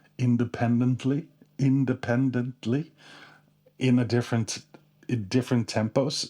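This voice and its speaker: A man with a non-native accent speaks at a fairly slow pace in a medium pitch. His tone is dark and mellow, his intonation monotone and flat, on a very clean recording with a silent background. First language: not English. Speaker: guitarist and gear video creator. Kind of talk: casual rig rundown tutorial. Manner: halting, many fillers and restarts.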